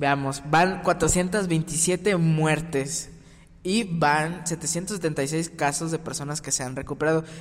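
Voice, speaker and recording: A man's fairly high voice, very slow and fairly even in intonation. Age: young. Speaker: podcast co-host. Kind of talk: casual chat. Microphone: poor audio quality.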